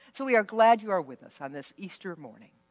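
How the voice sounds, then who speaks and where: Fairly quick pace over a quiet background. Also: woman. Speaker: pastor. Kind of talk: worship welcome address. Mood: warm, joyful. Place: church. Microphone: headset.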